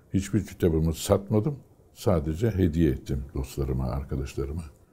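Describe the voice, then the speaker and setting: With vocal fry and a very deep, low pitch, a man speaks at a moderate pace in a dark, mellow tone with lively intonation. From Turkey, Istanbul and Aegean region; Turkey. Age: 80s+. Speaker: retired fighter pilot. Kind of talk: oral history interview. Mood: calm, reflective. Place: home room. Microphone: lapel.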